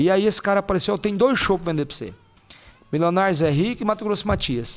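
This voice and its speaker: A man with a high-pitched voice speaks at a very fast pace. He takes long, frequent pauses. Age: 40s. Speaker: mayor and former rodeo association president. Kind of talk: podcast interview. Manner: conversational, frequent hesitations.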